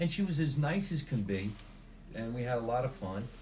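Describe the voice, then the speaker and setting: The speaker talks with a New Jersey accent. Background noise is noticeable, and the room echo is audible. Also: man. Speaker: comedian and actor. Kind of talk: interview.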